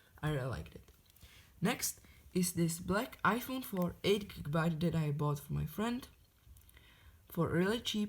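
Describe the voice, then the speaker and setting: A woman with a non-native accent talks at a moderate pace and a fairly low pitch. Her voice is somewhat breathy, with ordinary pitch variation. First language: not English. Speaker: tech hobbyist YouTuber. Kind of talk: show-and-tell review.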